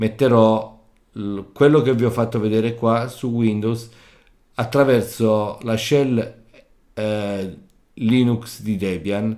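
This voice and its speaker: Using a medium pitch and fairly even intonation, a man speaks at a very slow pace with long, frequent pauses. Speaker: tech tutorial creator. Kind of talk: tutorial. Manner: halting.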